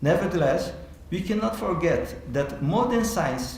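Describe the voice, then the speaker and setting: A man with a non-native accent talks in a high voice with lively intonation, over noticeable background noise and audible room echo. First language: Portuguese. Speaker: theology professor. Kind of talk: keynote lecture. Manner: halting.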